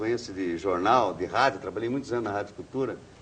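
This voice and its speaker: A man talks fairly quickly, his intonation lively. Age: 60s. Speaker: journalist. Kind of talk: interview. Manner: casual, colloquial.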